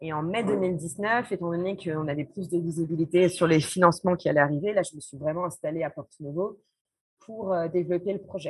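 A woman speaks with a fairly low pitch and ordinary pitch variation. Her loudness swings widely. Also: fairly quick pace. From France. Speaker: social entrepreneur, association founder. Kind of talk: interview. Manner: hesitant, frequent fillers.

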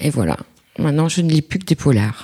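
A woman's dark, mellow tone carries lively intonation in a dry, close sound with no echo. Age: 50s. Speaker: listener sharing reading habits. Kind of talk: personal testimony.

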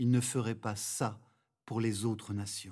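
A man's calm, somewhat breathy voice at medium pitch, with fairly even intonation and a very slow pace. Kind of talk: guided meditation and prayer. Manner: calm, slow, reverent.

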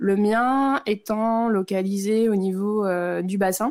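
In a very clean recording with a silent background, a woman talks very slowly with fairly even intonation. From northern France. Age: 30s. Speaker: cancer survivor. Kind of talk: testimony.

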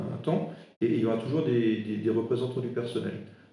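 Through audible room echo, a man with a medium pitch and a dark, mellow, somewhat breathy tone speaks at a very fast pace. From Alsace, eastern France. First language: Alsatian (speaking French). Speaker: interim HR director. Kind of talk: interview. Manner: halting, many fillers.

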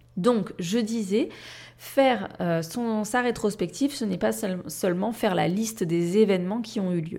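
A woman's dark, mellow voice at medium pitch, with ordinary pitch variation. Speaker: life coach and podcast host. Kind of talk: solo podcast monologue. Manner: careful articulation, deliberately not fast.

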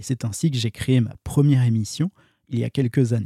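A man talks at a moderate pace and a medium pitch, somewhat breathy and with a dark, mellow tone. The sound is dry and close, with no echo. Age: 40s. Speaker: podcast host. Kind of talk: monologue intro.

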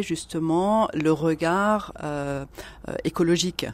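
On a very clean recording with a silent background, a woman speaks very slowly in a fairly low pitch with fairly even intonation. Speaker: corporate social responsibility consultant. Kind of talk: radio interview discussion. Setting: radio studio.

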